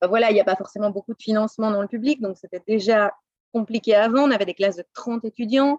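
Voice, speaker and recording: A woman's fairly high voice at a very fast pace, with fairly even intonation, big swings in loudness, and a dry, close sound with no echo. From Belgium, Brussels. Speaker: French teacher. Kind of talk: interview. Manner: halting.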